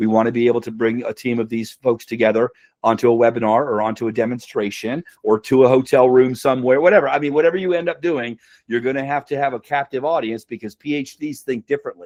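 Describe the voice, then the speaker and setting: A man talks at a very fast pace in a medium pitch. The sound is dry and close, with no echo. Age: 60s. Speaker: sales consultant. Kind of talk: webinar presentation. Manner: animated.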